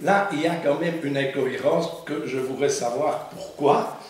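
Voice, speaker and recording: Very slow speech with audible room echo and noticeable background noise. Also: man. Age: 70s. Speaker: municipal councillor. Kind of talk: council meeting debate.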